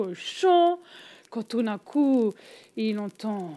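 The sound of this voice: The voice reads in an unforced way, with lively intonation.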